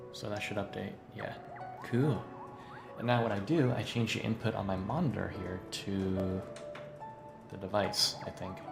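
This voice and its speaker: Music plays in the background while a man talks at a moderate pace with long, frequent pauses. His pitch is fairly low, with ordinary variation. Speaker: voice actor. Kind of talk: casual livestream talk while gaming.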